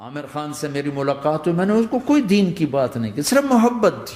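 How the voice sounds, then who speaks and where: A man is heard here. His pitch rises and falls very widely. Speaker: Islamic preacher. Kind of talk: religious sermon storytelling. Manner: lively, humorous.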